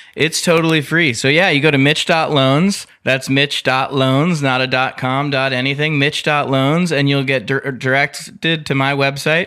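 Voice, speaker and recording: A man has a plain, everyday voice with a fairly high pitch. His intonation is fairly even and his loudness very even. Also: fairly slow pace. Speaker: mortgage broker. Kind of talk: interview about mortgage rates. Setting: studio.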